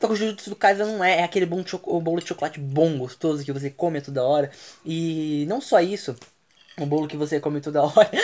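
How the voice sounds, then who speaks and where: This man talks at a very fast pace in a fairly high voice, with ordinary pitch variation. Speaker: podcast host. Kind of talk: casual chat.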